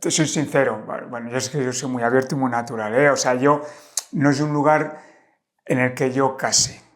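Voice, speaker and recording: Medium pitch and fairly even intonation from a man. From Spain, Valladolid. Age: 50s. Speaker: life coach and traveler. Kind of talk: casual interview conversation. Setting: in-person podcast conversation. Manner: hesitant, many fillers.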